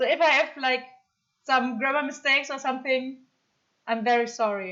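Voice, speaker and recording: Speaking with a German accent, a woman uses a high pitch. Her pace is moderate, and her pitch variation is ordinary. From Germany. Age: 30s. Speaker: streamer. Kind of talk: casual chat. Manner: hesitant, many fillers.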